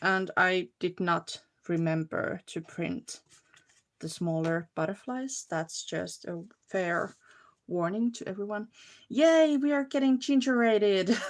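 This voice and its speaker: Very slowly, a woman with a Finnish accent speaks at a medium pitch that makes very wide swings. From Finland. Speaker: crafting livestreamer. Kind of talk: casual livestream chat and crafting tutorial. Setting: live video stream.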